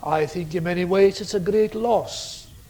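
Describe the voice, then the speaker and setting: A man with a Scottish Highland accent speaks with ordinary pitch variation. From Scottish Highlands/Islands, Gaelic-speaking. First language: Scottish Gaelic. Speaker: theology professor. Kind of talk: lecture. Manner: forceful preaching style.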